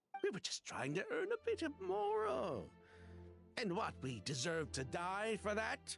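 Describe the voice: A man speaks in a put-on character voice at a fairly slow pace, his pitch high with very wide swings and a fairly bright tone. Vocal fry comes through, and faint music plays in the background.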